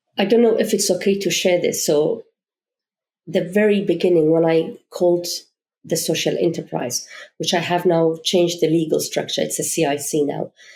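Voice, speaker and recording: Speaking with a non-native accent, a woman with a fairly low voice and a dark, mellow tone keeps a moderate pace, ordinary pitch variation and very even loudness. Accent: foreign. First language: not English. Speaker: charity founder. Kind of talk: podcast interview.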